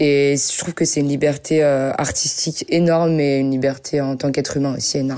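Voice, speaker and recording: A woman's very deep, low voice, flat and monotone, at a fairly quick pace with hardly any pauses, over noticeable background noise. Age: young. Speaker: singer-songwriter. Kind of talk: interview.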